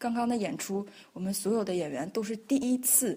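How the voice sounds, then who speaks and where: A woman speaks at a fairly slow pace in a fairly high voice, somewhat breathy, with a dark, mellow tone. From northeast China (Liaoning). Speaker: choreographer and dancer. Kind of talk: interview. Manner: hesitant, many fillers.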